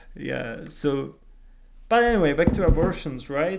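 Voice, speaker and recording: A man with a Czech accent speaks at a fairly slow pace and a fairly high pitch. Audible room echo surrounds the voice. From Czech Republic. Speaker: podcast co-host. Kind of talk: casual chat.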